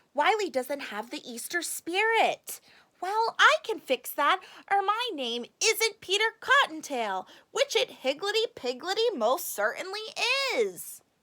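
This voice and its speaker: A woman's put-on character voice at an extremely high pitch, with very wide pitch swings and a fairly slow pace. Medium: read story. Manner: sweet, chirpy.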